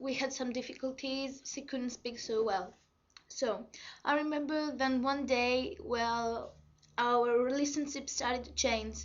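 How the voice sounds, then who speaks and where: Audible room echo surrounds a woman speaking in a Greek accent at a fairly slow pace. Her voice is high, with ordinary pitch variation. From Greece. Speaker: vlogger. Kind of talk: personal testimony. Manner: halting.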